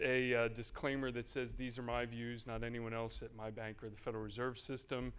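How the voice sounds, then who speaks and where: Here a man's voice has a medium pitch. He speaks very fast. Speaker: Federal Reserve economist. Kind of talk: keynote talk.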